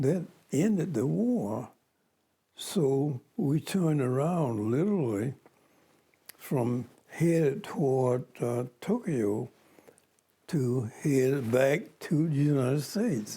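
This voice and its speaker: A man speaks at a very slow pace, with long, frequent pauses and very even loudness. His voice is fairly high-pitched, somewhat breathy and dark and mellow in tone, with lively intonation. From Macon, Georgia. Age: 80s+. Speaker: World War Two veteran. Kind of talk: interview answer.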